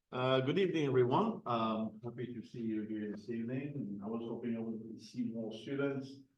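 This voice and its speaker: A man with a French accent speaks at a medium pitch and a moderate pace, with ordinary pitch variation, hardly any pauses, and audible room echo. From Morocco, Spanish family, then France. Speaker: lean consultant. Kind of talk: presentation.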